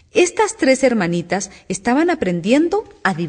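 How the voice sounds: Natural-sounding reading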